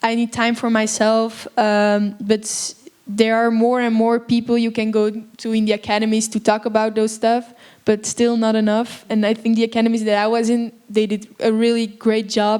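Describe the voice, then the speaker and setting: With a monotone, flat intonation and fairly high pitch, a woman speaks at a moderate pace. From Belgium. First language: Dutch (Flemish). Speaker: actress. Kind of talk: Q&A panel after film screening. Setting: stage with audience.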